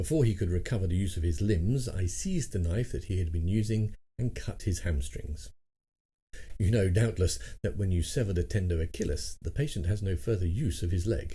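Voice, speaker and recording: With a British accent, a man speaks fairly quickly in a fairly low, dark, mellow, somewhat breathy voice, with lively intonation and very even loudness. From England. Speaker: audiobook narrator. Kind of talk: audiobook reading of a classic short story.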